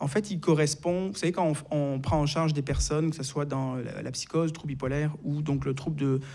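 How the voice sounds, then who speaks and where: Fairly quick and fairly even in intonation, a man speaks with a Marseille accent. His pitch is fairly high, and his tone is dark and mellow. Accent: French accent from Marseille. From southern France, Marseille. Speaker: psychiatrist and author. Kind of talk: interview. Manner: hesitant, many filler sounds.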